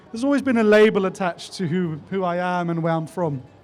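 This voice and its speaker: This man speaks with a South African accent. His pitch is high and his pace fairly quick. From South Africa and Cyprus. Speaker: youth organisation president. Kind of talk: interview. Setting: live event. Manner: hesitant, with fillers.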